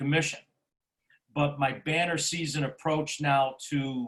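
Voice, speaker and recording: Here a man speaks at a fairly high pitch. His intonation is fairly even. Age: 60s. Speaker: real estate agent. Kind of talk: interview.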